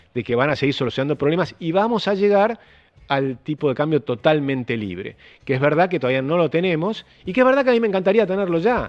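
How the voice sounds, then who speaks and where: A man with a Rioplatense accent, his pitch swinging very widely. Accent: Argentine Rioplatense Spanish. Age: 60s. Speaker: economist. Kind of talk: panel interview.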